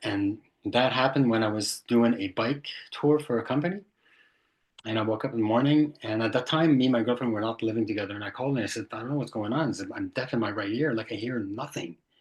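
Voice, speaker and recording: Against a quiet background, a man with a medium pitch talks at a fairly quick pace in a Quebec accent, his intonation fairly even. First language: French. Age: 60s. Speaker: tinnitus sufferer, retired IT professional. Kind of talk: personal testimony in interview. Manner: halting.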